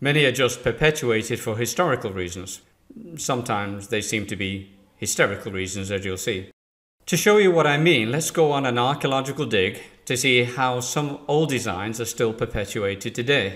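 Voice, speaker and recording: Lively in intonation, a man with an English accent speaks at a medium pitch and a moderate pace. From England. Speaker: business trainer. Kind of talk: scripted presentation.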